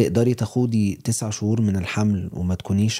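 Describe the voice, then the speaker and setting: A man with an Egyptian accent speaks in a dark, mellow tone at a fairly low pitch. His pace is moderate and his intonation fairly even, in a very clean recording with a silent background. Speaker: podcast co-host. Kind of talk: casual chat.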